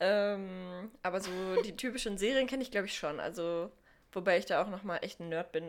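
A woman has an unremarkable speaking voice at medium pitch. She talks at a fairly quick pace with ordinary pitch variation. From Sauerland, Germany. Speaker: podcast co-host. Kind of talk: casual chat.

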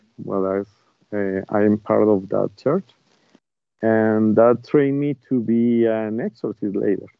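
Very slowly, a man with a Spanish accent speaks at a fairly low pitch with fairly even intonation. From Colombia, Bogota. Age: 40s. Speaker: bishop and exorcist. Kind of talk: interview. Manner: halting.

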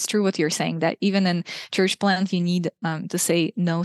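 Speaking with a Russian accent, a woman delivers her words at a fairly quick pace in a monotone, flat intonation and a fairly low pitch. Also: dry, close sound with no echo. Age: 20s. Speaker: food blogger and former missionary. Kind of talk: interview conversation.

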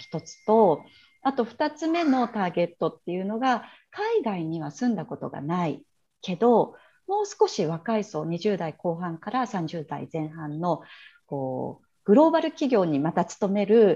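Against a quiet background, a woman speaks at a medium pitch with a dark, mellow tone and a somewhat breathy quality. Her pitch swings very widely and her loudness rises and falls sharply. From China (Shanghai), Japanese returnee. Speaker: entrepreneur and branding coach. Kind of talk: interview. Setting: video call.

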